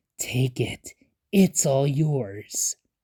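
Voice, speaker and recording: Someone whispers in a put-on character voice. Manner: enticing, coaxing.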